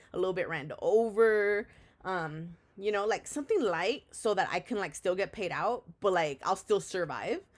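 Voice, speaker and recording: On a very clean recording with a silent background, a woman with an unremarkable speaking voice talks at a medium pitch and moderate pace with ordinary pitch variation. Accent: American. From San Diego, California. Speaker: podcaster. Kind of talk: casual chat.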